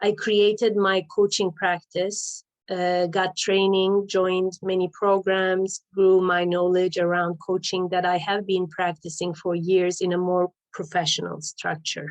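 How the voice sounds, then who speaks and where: Speaking with a Turkish accent at a fairly slow pace, the voice stays monotone and flat, with hardly any pauses. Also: woman, medium pitch for a woman. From Turkey, Istanbul. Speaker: life coach. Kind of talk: personal storytelling.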